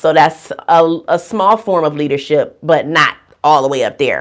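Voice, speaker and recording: A woman with a very deep, low pitch talks at a moderate speed. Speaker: nurse. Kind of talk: livestream talk. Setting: livestream from a room. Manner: loud. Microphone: too close to the mic, too loud.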